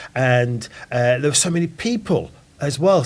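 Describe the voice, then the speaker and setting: A man speaks with an East Midlands accent. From Nottingham, England. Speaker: podcast host. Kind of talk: casual chat.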